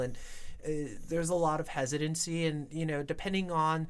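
In a very clean recording with a silent background, the talking proceeds at a moderate pace. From New York. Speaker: student podcast host. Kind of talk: casual chat.

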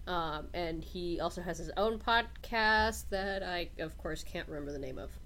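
Music plays in the background as a woman speaks at a moderate pace with hardly any pauses. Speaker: podcast co-host.

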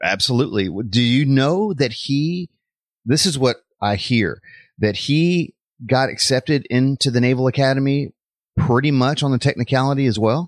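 Recorded in dry, close sound with no echo and a quiet background, a man with a plain, everyday voice talks at a moderate pace and medium pitch, with ordinary pitch variation and very even loudness. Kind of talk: interview with devotional tone.

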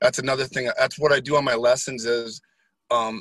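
The sound is dry and close with no echo as a man with an American accent speaks fairly quickly, his pitch varying in an ordinary way. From Wisconsin, US Midwest. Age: 50s. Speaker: guest interviewee. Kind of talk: casual interview chat. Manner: animated, high energy.

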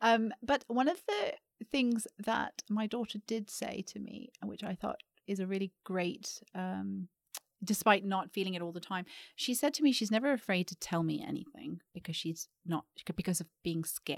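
This woman has a normal speaking voice at a medium pitch, moving at a moderate pace with ordinary pitch variation. The very clean recording has a silent background and a dry, close sound with no echo. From Canada (Vancouver). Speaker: educator and founder of a girls' mentoring company. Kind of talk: podcast interview.

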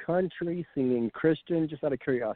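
Fairly high in pitch, this man has a plain, everyday voice with ordinary pitch variation. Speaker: podcast host. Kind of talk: interview.

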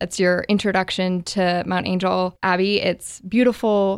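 The voice has an American accent and fairly even intonation at a very slow pace. The recording is very clean with a silent background. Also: woman. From Oregon, US Pacific Northwest (Bend). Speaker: volunteer ministry organizer, tech worker. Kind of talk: radio interview.

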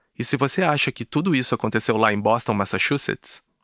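In a normal speaking voice, a man at a medium pitch talks at a fairly quick pace with lively intonation. The recording is very clean and silent, dry and close with no echo. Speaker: podcast host. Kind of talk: scripted narration.

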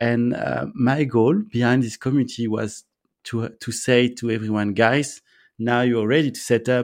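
This man speaks with a French accent at a medium pitch. His pace is moderate and his intonation fairly even. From France. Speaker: entrepreneur, co-living founder. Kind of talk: interview. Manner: halting, hesitant with fillers.

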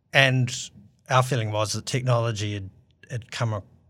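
On a very clean recording with a silent background, a man with a New Zealand accent speaks at a moderate pace with fairly even intonation. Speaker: aviation engineer and startup founder. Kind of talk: interview.

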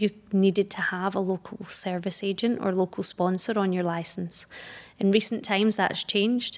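In a very clean recording with a silent background, a woman with a Glaswegian accent talks at a moderate pace. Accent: Glaswegian Scottish. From Scotland, Glasgow. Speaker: business setup advisor. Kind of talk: interview.

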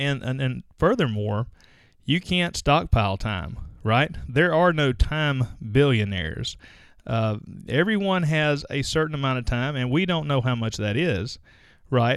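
A man with an American accent talks at a fairly slow pace in a plain, everyday voice, medium in pitch with lively intonation. The recording is very clean, with a silent background. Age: 40s. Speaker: podcast host, dentist. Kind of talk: solo podcast monologue. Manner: casual, conversational.

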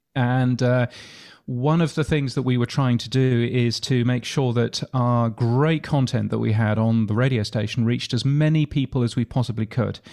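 A man with a dark, mellow tone talks at a medium pitch and moderate pace, his intonation fairly even. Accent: British. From UK. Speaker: podcasting expert and radio futurologist. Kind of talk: interview. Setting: remote call from Australia.

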